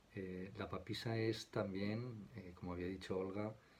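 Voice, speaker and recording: A soft-spoken, somewhat breathy man talks at a fairly low pitch and a fairly slow pace. Audible room echo surrounds his voice. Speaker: tarot teacher. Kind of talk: lecture. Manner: soft-spoken, quiet; halting, many fillers.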